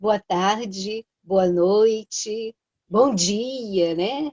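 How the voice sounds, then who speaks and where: The sound is dry and close, with no echo. A woman speaks at a fairly high pitch. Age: 70s. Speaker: radio show presenter. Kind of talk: radio talk show. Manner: halting, with many fillers.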